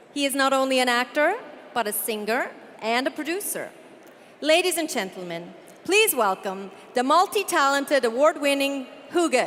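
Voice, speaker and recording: Against noticeable background noise, a woman with a high voice talks at a moderate pace, her pitch swinging very widely, with long, frequent pauses. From Canada. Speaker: event hostess. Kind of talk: live event hosting. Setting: stage with audience. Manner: animated.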